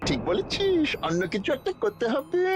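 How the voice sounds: A high-pitched cartoonish character voice at a moderate pace, with very wide pitch swings over clear background noise.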